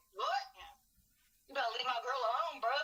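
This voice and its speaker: Someone uses a high, put-on character voice at a fairly quick pace. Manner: big, tough, swaggering.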